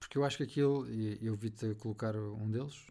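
A man with a European Portuguese accent speaks at a fairly quick pace. His fairly low voice has a dark, mellow tone and fairly even intonation. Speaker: host's husband. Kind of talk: casual chat. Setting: home office studio.

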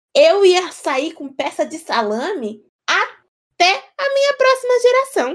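Her pitch is extremely high for a woman and swings very widely. The woman talks at a very slow pace. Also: big swings in loudness. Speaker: podcast co-host. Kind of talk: casual chat. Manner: animated.

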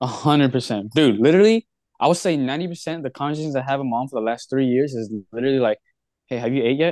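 Speaking at a very fast pace, a man with a medium pitch comes across in a dry, close sound with no echo. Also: ordinary pitch variation, quiet background. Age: 20s. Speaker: podcast co-host. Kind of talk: casual chat.

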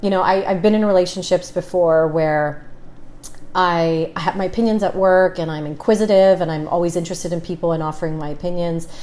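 Speaking at a fairly quick pace, a woman with a fairly low pitch uses an ordinary speaking voice and fairly even intonation. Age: 30s. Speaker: businesswoman and negotiator. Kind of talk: casual chat.

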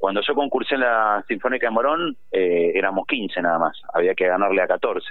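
A man is speaking. His pace is moderate. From Argentina, Tucumán. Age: 50s. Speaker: musician, trumpet player. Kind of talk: phone interview. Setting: phone call.

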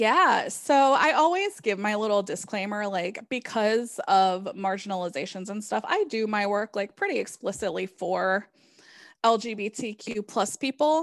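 A woman with a normal speaking voice, fairly high pitch, lively intonation and a moderate pace, on a very clean recording with a silent background. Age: 30s. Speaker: tarot reader and author. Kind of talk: interview conversation.

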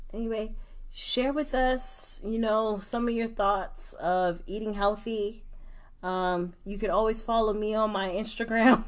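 In a room with audible echo, a woman with an American accent speaks fairly slowly at a fairly high pitch and with fairly even intonation. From New York, Brooklyn. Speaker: podcast co-host. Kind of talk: casual chat.

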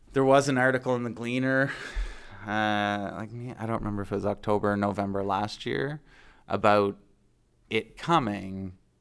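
A man with a Maritime Canadian accent talks at a moderate pace and a fairly low pitch with ordinary pitch variation on a very clean recording with a silent background. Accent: Canadian (Maritimes). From New Brunswick, Canada (Fredericton). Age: 40s. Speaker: small business owner, former plumber. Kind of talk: interview. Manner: casual, hesitant with fillers.

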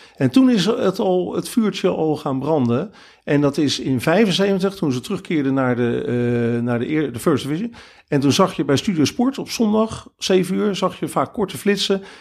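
Very wide pitch swings mark this fairly slow voice, captured in a very clean recording with a silent background. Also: man, fairly high pitch for a man. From Netherlands, Rotterdam. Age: 50s. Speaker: football fan, groundhopper. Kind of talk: casual interview. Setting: attic in Veldhoven.

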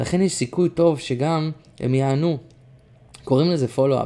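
Fairly high-pitched male voice with a dark, mellow tone, ordinary pitch variation and a moderate pace. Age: 20s. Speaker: musician, coaching client. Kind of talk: personal diary reading.

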